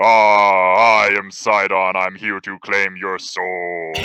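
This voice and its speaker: In a put-on character voice, a man booms at a very deep, low pitch, speaking very slowly with flat, monotone intonation. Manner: menacing.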